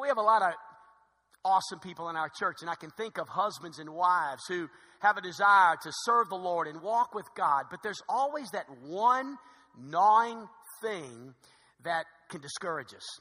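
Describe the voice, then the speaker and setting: A man's raised, projected voice, high-pitched and lively in intonation, with big swings in loudness. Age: 50s. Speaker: pastor. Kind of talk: sermon. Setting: church. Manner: fast.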